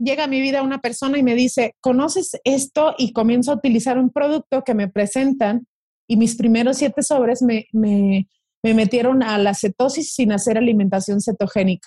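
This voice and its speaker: In a very clean recording with a silent background, a woman speaks at a moderate pace in a high pitch with a dark, mellow tone, ordinary pitch variation and very even loudness, the sound dry and close with no echo. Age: 30s. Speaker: social media wellness creator. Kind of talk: interview.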